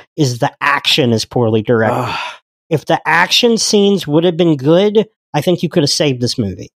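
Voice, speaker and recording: A man's fairly high voice with very wide pitch swings, dry and close with no echo. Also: fairly quick pace. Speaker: podcast host. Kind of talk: casual chat. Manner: loud.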